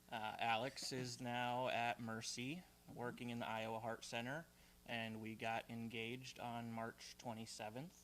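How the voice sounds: This man talks at a fairly slow pace, his medium pitch showing little movement and his tone fairly bright.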